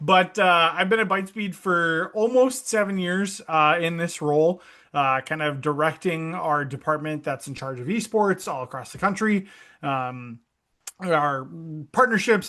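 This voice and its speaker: Against a quiet background, a man with a Minnesota accent speaks at a moderate pace in a fairly high pitch, his tone bright and sharp, his intonation lively and his loudness swinging widely. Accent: Norwegian-sounding Minnesota. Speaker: esports industry director, former college esports coach. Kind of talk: podcast interview. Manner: casual, many fillers.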